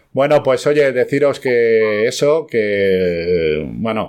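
A man's lively intonation comes through on a very clean recording against a silent background. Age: old. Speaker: aviation news show host. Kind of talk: live news roundup show. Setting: live studio broadcast.

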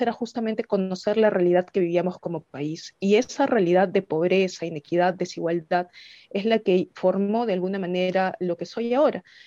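In a normal speaking voice, a woman talks at medium pitch with ordinary pitch variation, the sound dry and close with no echo. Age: 30s. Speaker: congressional candidate and lawyer. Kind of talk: interview.

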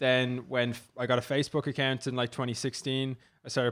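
A man with an Irish accent at a medium pitch and fairly quick pace, in a very clean recording with a silent background. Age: 20s. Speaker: content creator and startup co-founder. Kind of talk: interview. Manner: casual, filler-heavy.

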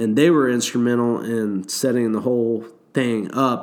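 A man speaks at medium pitch and a moderate pace. He has a plain, everyday voice. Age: 40s. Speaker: whitewater rafting guide. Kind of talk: casual chat.

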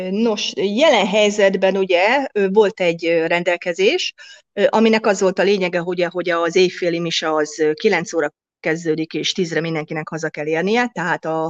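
In a normal speaking voice, a woman of medium pitch talks at a moderate pace with ordinary pitch variation, recorded dry and close with no echo. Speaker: restaurant and hotel owner. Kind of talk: interview.

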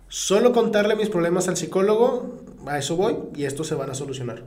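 Amid noticeable background noise and audible room echo, a man with a high pitch speaks fairly quickly in an animated tone with very wide pitch swings. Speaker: podcast co-host. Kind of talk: casual chat.

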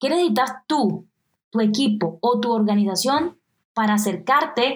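In a Colombian coastal accent, a woman speaks at a fairly slow pace in a fairly high, somewhat breathy voice with very wide pitch swings. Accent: Colombian coastal (costeño). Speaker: podcast host, digital nomad entrepreneur. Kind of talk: motivational solo podcast.

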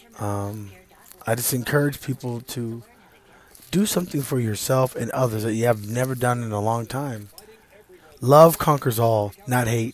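A man's medium-pitched voice with an American accent, ordinary pitch variation, a moderate pace and long, frequent pauses, over noticeable background noise. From US South, Deep East Texas. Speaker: vlogger sharing personal views. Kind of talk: personal monologue. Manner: halting with many fillers.

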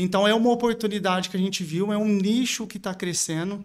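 Speaking at a moderate pace, a man with a high pitch is captured on a very clean recording with a silent background. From Brazil, São Paulo state (Santo Antônio da Alegria). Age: 30s. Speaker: bank clerk and marketing professional promoting a furniture store. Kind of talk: casual interview.

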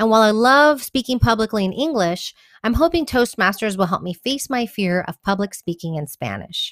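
With an American accent and an unremarkable speaking voice, a woman speaks at a fairly high pitch with lively intonation, in a dry, close sound with no echo on a very clean recording with a silent background. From Texas, Houston. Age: 30s. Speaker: community organizer and blogger. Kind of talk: scripted narration.

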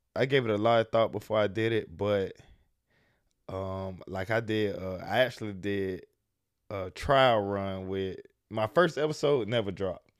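In a very clean recording with a silent background, a man with an American accent and an ordinary speaking voice talks at a moderate pace, his fairly low pitch showing ordinary variation. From US South, Jacksonville, Florida. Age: 20s. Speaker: entrepreneur and podcast host. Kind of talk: casual interview.

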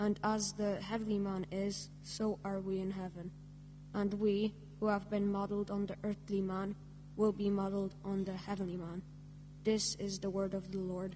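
Over noticeable background noise, a woman talks at a moderate pace and medium pitch with monotone, flat intonation. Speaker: scripture reader at Mass. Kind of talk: reading aloud.

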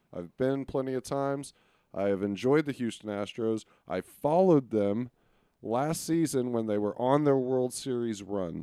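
A man's medium-pitched voice with an American accent and a dark, mellow tone, against a quiet background. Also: ordinary pitch variation, moderate pace. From Texas, Arlington. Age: 30s. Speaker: sports podcast co-host. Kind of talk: casual chat.

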